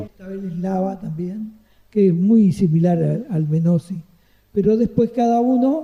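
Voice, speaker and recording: A man with a high pitch and a dark, mellow tone speaks at a fairly slow pace. His loudness swings widely while his pitch variation stays ordinary. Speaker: retired saxophonist. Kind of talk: interview answer. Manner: pleasant, chatty.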